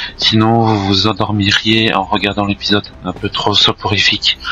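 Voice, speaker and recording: Noticeable background noise sits behind the speaker. He is a man with a fairly low pitch. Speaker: gaming youtuber. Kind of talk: gameplay commentary.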